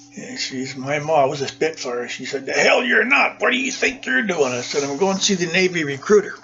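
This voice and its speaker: With music playing in the background, a man talks in an American accent at a moderate pace, with ordinary pitch variation. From Minnesota, US Upper Midwest. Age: 70s. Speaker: war veteran. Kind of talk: oral history interview.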